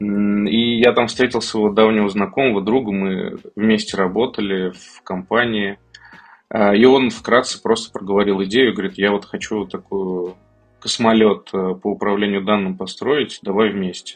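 Against music in the background, the voice holds a fairly even intonation but shows big swings in loudness. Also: man, fairly low pitch for a man, fairly slow pace. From Kazan, Russia. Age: 30s. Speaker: tech startup founder. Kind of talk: podcast interview.

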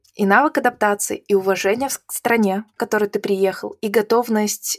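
A woman speaks in an ordinary speaking voice at a medium pitch. Her intonation is fairly even, her pace moderate. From Belarus. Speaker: IT event organizer. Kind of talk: interview conversation.

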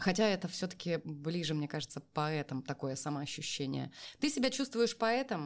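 On a very clean recording with a silent background, a woman with a very deep, low pitch speaks at a fairly slow pace with lively intonation. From Siberia, Kemerovo region near Novokuznetsk. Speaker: voice actor and public speaking coach. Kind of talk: interview conversation.

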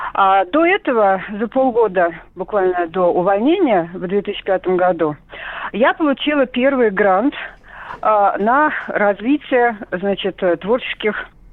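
Through noticeable background noise, a woman at a medium pitch speaks very slowly with lively intonation and long, frequent pauses. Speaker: caller, retired TV director. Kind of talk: radio call-in.

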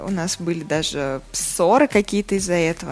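In an unremarkable speaking voice, a woman talks at a fairly slow pace with lively intonation. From Russia, Saratov. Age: 30s. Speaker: magazine editor and journalist. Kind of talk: interview.

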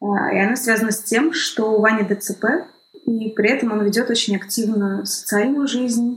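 A woman speaks in a plain, everyday voice with fairly high pitch, fairly even intonation, a moderate pace and very even loudness. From northwestern Russia, Kirovsk near St Petersburg. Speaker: documentary film director. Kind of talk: interview conversation.

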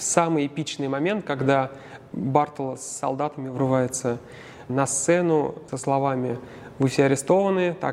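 With big swings in loudness and fairly even intonation, a man talks at a fairly slow pace with long, frequent pauses. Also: fairly high pitch for a man. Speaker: opera tenor. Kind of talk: interview. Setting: theatre foyer.

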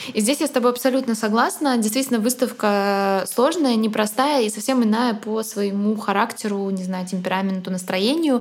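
On a very clean recording with a silent background, a woman with a fairly high pitch talks at a moderate pace with hardly any pauses and ordinary pitch variation. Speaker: art podcast co-host, art historian. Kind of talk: casual chat with lecture-like explanations. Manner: solemn, lofty.

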